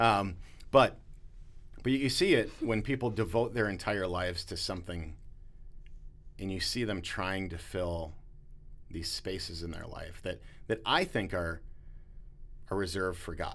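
A man speaks fairly slowly at a fairly low pitch, with ordinary pitch variation and long, frequent pauses. Audible room echo surrounds his voice. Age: 40s. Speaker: pastor. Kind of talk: casual interview.

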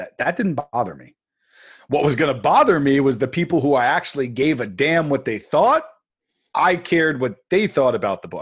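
An energetic man with an American accent, fairly high in pitch, at a moderate pace with lively intonation and big swings in loudness, against a quiet background. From New York. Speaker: author. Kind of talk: interview.

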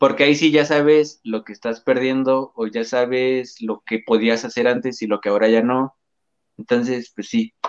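A man talks in a plain, everyday voice at a medium pitch with fairly even intonation, and the sound is dry and close with no echo. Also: moderate pace. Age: 20s. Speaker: paralympic archer. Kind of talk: interview.

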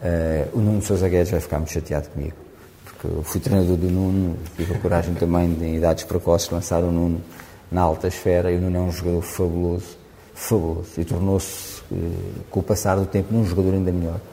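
A man's very deep, low voice, delivered at a very fast pace in a monotone, flat intonation. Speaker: rugby coach. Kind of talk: interview.

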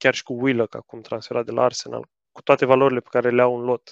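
Against a quiet background, a man talks at a moderate pace and medium pitch in an ordinary speaking voice. The sound is dry and close with no echo. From Romania. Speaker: football podcaster. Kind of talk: casual chat.

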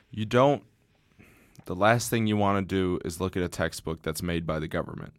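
A man with an American accent speaks at a very deep, low pitch. The recording is very clean, with a silent background. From Southeast Michigan (Ann Arbor). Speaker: podcast host. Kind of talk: casual chat.

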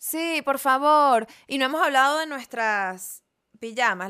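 A woman speaks in a Venezuelan accent with a bright, sharp tone. The recording is very clean, the background silent. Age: 30s. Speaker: comedian. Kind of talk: casual chat.

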